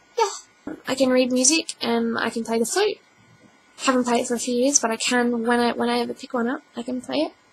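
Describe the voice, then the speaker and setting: A woman's high-pitched voice at a very fast pace, with noticeable background noise. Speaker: vlogger. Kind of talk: casual vlog. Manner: halting.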